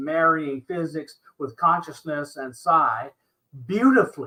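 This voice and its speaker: The pace is fairly slow. The tone comes across bright and sharp. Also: man. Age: 70s. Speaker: paranormal show host and scientist. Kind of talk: interview conversation.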